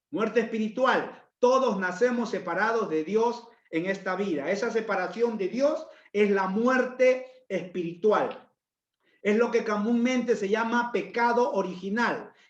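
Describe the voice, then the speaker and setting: A man with a high pitch talks at a fairly slow pace with ordinary pitch variation. Room echo is audible. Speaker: pastor. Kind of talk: sermon.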